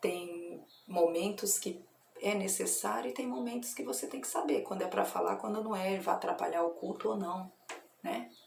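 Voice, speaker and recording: A soft-spoken woman at a moderate pace, with audible room echo and noticeable background noise. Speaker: evangelical churchgoer sharing religious reflections. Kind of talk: informal religious reflection video. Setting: at her workplace. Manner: soft-spoken, speaking quietly.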